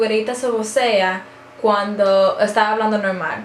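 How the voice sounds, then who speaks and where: Noticeable background noise and audible room echo around a woman's voice of ordinary pitch variation. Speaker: beauty and lifestyle vlogger. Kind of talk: casual vlog chat. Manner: loud; animated.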